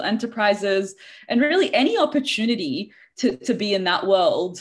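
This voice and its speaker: This is a woman speaking in an Australian accent. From Australia (Sydney). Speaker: leadership coach. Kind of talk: interview. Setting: video call.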